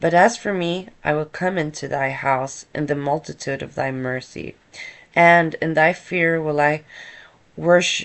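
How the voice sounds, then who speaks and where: A woman with a Swedish accent speaks at a fairly slow pace in a very deep, low pitch, her intonation fairly even. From Sweden. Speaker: content creator reading psalms. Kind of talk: reading scripture aloud. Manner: halting.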